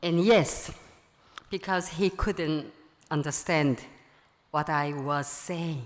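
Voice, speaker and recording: Speaking with a strong non-native accent, a woman with a very deep, low pitch and ordinary pitch variation talks at a very slow pace with long, frequent pauses. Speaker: friend of the deceased. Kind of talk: eulogy read from notes. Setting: memorial gathering in a full room.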